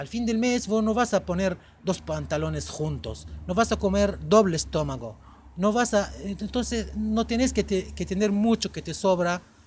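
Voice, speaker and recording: The man talks at a fairly slow speed. He has an Arabic accent. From Egypt, Cairo. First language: Arabic (speaking Spanish). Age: 40s. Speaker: podcast guest. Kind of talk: casual chat.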